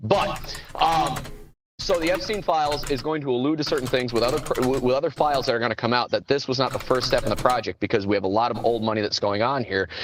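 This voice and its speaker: A man's medium-pitched voice at a very fast pace. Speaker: call-in panel participant. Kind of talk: call-in talk show discussion. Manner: halting, many fillers.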